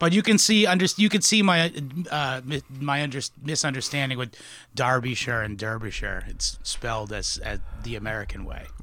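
His pitch swings very widely as a man delivers his words at a moderate pace. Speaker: podcast host. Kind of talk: casual banter about history. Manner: jokey, casual.

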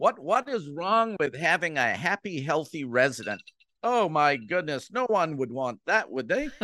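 With an American accent, a man with a fairly high pitch and a bright, sharp tone speaks at a moderate pace, his pitch swinging very widely, against a quiet background. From Jamaica. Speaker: CEO of a professional association on active aging. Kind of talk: interview. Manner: frequent fillers and restarts.

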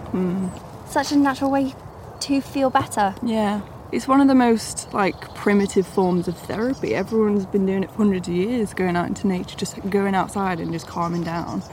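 Fairly quick talk from a woman, noticeable background noise underneath. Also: medium pitch for a woman, ordinary pitch variation. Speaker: wildlife trust trainee. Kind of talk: interview.

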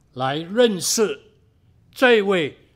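The recording is very clean, with a silent background. A man speaks at a very slow pace. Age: old. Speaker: pastor. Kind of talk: sermon.

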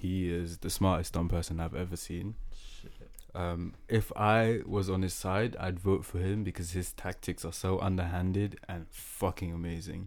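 A man speaks with a very deep, low pitch. His intonation is flat and monotone, his pace moderate. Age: 20s. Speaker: podcast host. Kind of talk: casual banter podcast chat.

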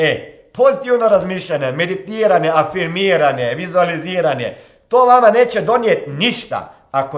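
A man speaks in a high-pitched voice with lively intonation. His pace is moderate. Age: 40s. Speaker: motivational coach and podcast host. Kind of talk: motivational monologue.

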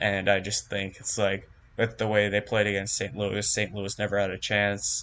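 Against a quiet background, a man speaks at a moderate pace and a fairly low pitch. His tone is bright and sharp, his intonation monotone and flat. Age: young. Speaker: college student and sports fan. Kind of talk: casual chat. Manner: halting.

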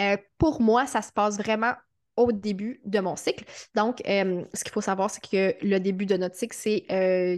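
A woman of medium pitch talks at a fairly slow pace with ordinary pitch variation over a quiet background. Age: 30s. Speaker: writer and podcast host. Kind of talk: interview conversation.

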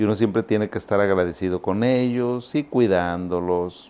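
The speaker is a man. He talks at a fairly slow pace with ordinary pitch variation. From Zacatecas, Mexico; raised in Monterrey from age 7. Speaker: psychiatrist. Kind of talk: educational talk to camera. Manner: animated; conversational.

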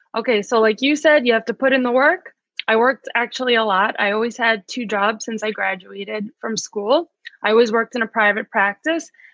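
A woman with a New York accent speaks at a fairly quick pace. Her pitch is fairly high. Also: ordinary pitch variation. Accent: New York American. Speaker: physical therapist, rehab director. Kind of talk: interview.

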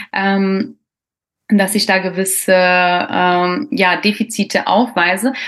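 Her intonation fairly even, the woman's speech unfolds at a very slow pace. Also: medium pitch for a woman. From Croatian roots. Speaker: podcast host. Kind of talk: casual interview.

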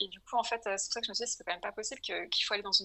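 This woman's voice sits fairly high in pitch. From France, Paris. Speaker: entrepreneur. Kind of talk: interview. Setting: call.

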